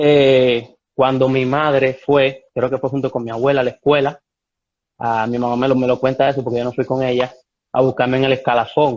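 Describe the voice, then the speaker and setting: A medium-pitched man speaks with a slight Cuban accent. His delivery is monotone and flat at a moderate pace. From Cuba, Santiago de Cuba (Oriente). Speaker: ballet dancer. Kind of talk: interview. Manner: halting with repetitions.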